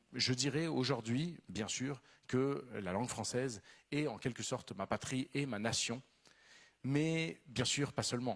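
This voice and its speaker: Over a very clean, silent background, a man talks at a medium pitch and a fairly slow pace, with ordinary pitch variation. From Venezuela. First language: Spanish (speaking French). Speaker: novelist. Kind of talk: literary talk.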